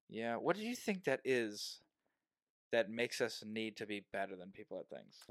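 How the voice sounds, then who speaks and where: A plain, everyday voice at a moderate pace shows big swings in loudness and ordinary pitch variation in a dry, close sound with no echo. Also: man, medium pitch for a man. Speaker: podcast host. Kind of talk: casual chat interview.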